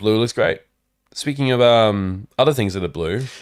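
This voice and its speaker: This man has an Australian accent, a medium pitch, and lively intonation. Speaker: podcast co-host. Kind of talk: casual chat. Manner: animated.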